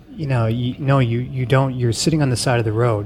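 A man speaks at a medium pitch with fairly even intonation. There is noticeable background noise. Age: 40s. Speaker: podcast host. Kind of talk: casual interview.

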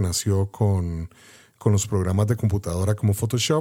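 His tone is dark and mellow. The man keeps a fairly even intonation. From Costa Rica. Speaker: podcast host and photographer. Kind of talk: interview.

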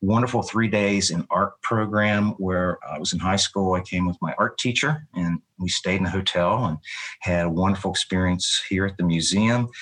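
A fairly low male voice in an Appalachian Virginia accent, moderate in pace with fairly even intonation, in a dry, close sound with no echo. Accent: Southern US (Appalachian Virginia). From Southwest Virginia, US. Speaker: museum educator. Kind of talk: interview.

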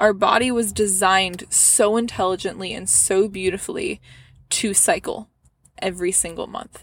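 Her medium-pitched voice carries vocal fry and a warm tone, with fairly even intonation at a moderate pace. This woman's loudness swings widely. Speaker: women's health podcaster. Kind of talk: gentle motivational pep talk, addressed intimately to listener. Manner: warm, reassuring, affectionate, with soft laughs; earnest and encouraging, building to heartfelt emphatic cheering.

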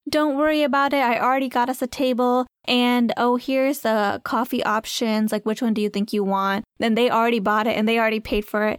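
An unremarkable speaking voice at a fairly quick pace, with fairly even intonation and a dry, close sound with no echo in a very clean recording with a silent background. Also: woman. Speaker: podcast co-host. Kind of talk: casual chat. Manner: laughs often, relaxed, playful.

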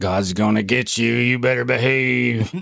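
A man speaks at a medium pitch with a fairly bright tone and vocal fry. His pace is fairly slow and his intonation fairly even.

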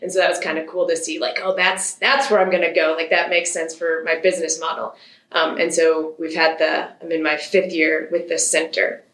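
Noticeable background noise sits behind this recording. A woman with an American accent talks at a fairly quick pace. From Michigan. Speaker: riding instructor. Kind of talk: interview.

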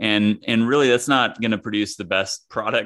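With an American accent, a man speaks in a plain, everyday voice at a moderate pace with ordinary pitch variation. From US Midwest, small-town Kansas. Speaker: former pro golfer turned author and coach. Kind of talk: casual interview.

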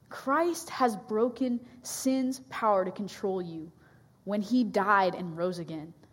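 Woman with an American accent at medium pitch, very slow pace and lively intonation, with audible room echo. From US Pacific Northwest. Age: 20s. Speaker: campus ministry staff. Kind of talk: sermon. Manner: hesitant, many fillers.

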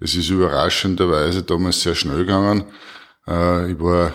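On a very clean recording with a silent background, a man with a Styrian accent speaks fairly slowly in a very deep, low voice with monotone, flat intonation. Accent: Styrian Austrian German. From Styria, Austria (Murtal). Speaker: politician, member of parliament. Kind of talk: interview answers.

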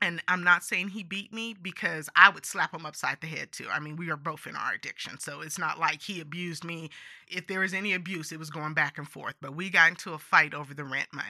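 Over a quiet background, a woman with an American accent speaks at a fairly quick pace in a fairly low pitch. Her tone is bright and sharp, her intonation fairly even, and her loudness swings widely. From California, San Joaquin Valley. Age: 50s. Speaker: life coach. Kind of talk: testimony. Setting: in person interview.

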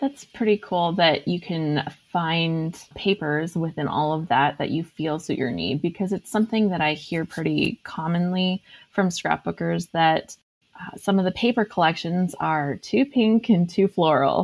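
A woman's normal speaking voice, fairly low in pitch, with ordinary pitch variation, a fairly slow pace and a dry, close sound with no echo. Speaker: podcast host. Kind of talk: casual interview chat.

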